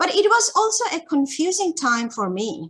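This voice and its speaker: A woman speaks with a Bangladeshi accent at a fairly slow pace. The background is quiet. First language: Chakma. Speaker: academic researcher. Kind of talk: academic webinar talk. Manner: hesitant, many fillers.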